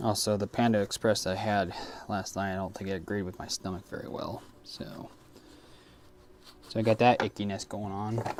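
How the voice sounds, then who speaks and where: This man's voice is fairly low and flat, with monotone intonation. He talks at a moderate pace, leaving long, frequent pauses. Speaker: airsoft technician streamer. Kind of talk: live stream Q&A.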